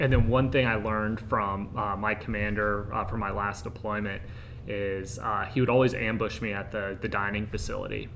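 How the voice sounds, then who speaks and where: A man's fairly low, monotone, flat delivery, with audible room echo and noticeable background noise. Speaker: air force intelligence officer. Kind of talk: panel discussion. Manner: loud.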